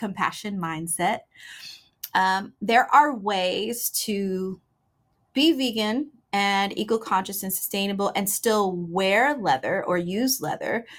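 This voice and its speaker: A woman with an American accent speaks at a very slow pace in a medium pitch. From Houston, Texas. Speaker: singer-songwriter and record label owner. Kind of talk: interview.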